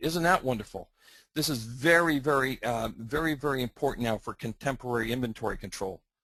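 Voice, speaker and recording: The speaker has a strong Canadian accent and a bright, sharp tone. The pace is fairly quick against a quiet background. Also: man. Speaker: software product presenter. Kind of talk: webinar presentation. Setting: online webinar.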